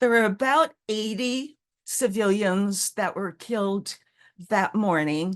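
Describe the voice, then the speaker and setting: A woman at medium pitch, speaking at a very slow pace. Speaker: author, storyteller, WWII eyewitness. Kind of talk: historical talk, lecture.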